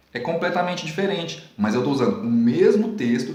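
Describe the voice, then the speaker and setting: The speaker talks at a moderate pace with audible room echo. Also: man. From Brazil, Minas Gerais. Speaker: Portuguese writing teacher. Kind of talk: video lesson. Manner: careful, standard-leaning pronunciation.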